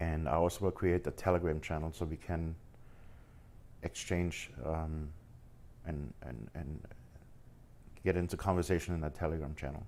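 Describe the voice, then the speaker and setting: A man with a slight German accent talks at a moderate pace in a very deep, low voice with fairly even intonation and long, frequent pauses. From Germany, Munich. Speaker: forex trader streamer. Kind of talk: live stream chat. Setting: live stream. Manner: halting, stumbles over words.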